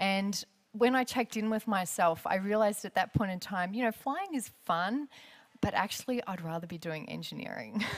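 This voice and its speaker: A woman with an Australian accent, medium pitch and ordinary pitch variation. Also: moderate pace. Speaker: aerospace engineer and former air force pilot. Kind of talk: lecture. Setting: stage with audience. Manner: loud.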